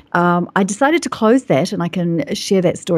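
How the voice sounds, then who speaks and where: Speaking at a fairly quick pace, a woman talks with a New Zealand accent. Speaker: business coach. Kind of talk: interview. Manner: fast.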